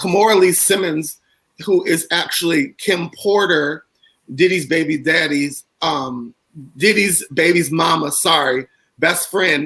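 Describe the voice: A man's put-on character voice, hoarse and high-pitched, with ordinary pitch variation at a fairly slow pace.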